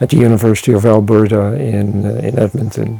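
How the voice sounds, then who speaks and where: Medium-pitched man with a Dutch accent, fairly even intonation and a moderate pace over noticeable background noise. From Netherlands (Wassenaar, near The Hague). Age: 80s+. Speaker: retired anthropologist. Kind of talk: interview. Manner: halting, many fillers.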